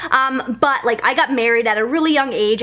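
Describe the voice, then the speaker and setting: A woman with a high pitch speaks at a fairly quick pace over noticeable background noise. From Germany. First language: German. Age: 20s. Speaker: lifestyle vlogger. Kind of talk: casual vlog talk to camera.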